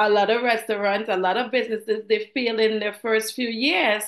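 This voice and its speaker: Speaking in a Trinidadian accent, a woman has a fairly high pitch. The background is quiet. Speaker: financial professional, former flight attendant. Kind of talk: interview.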